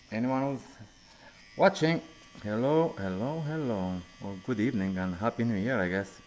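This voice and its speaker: With a Romanian accent, a man of medium pitch speaks at a moderate pace with lively intonation and long, frequent pauses. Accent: Romanian accent, noticeable. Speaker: tattoo artist. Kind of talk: casual live stream chat while working.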